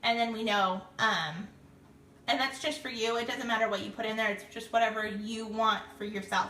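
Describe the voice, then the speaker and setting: A woman's fairly high voice at a moderate pace with fairly even intonation, amid noticeable background noise and audible room echo. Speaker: direct sales consultant. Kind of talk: tutorial. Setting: Facebook live video stream.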